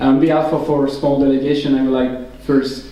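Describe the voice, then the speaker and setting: A man with a French accent and medium pitch, fairly quick pace, audible room echo and noticeable background noise. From Brittany, France. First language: French or Breton. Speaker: political activist and former prisoner. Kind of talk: political speech. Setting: public hall with audience. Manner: halting.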